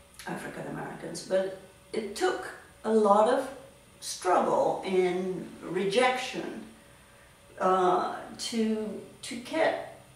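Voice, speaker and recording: Audible room echo surrounds a woman who speaks at a very slow pace with lively intonation and long, frequent pauses. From Tanzania. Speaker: artist. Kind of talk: interview answer. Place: home room. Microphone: camera far.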